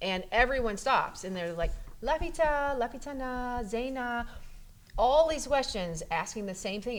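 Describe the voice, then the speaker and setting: A woman with a high pitch speaks with lively intonation. Audible room echo surrounds her voice. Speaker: pastor and podcast host. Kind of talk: casual chat. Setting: church coffee area. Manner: fast.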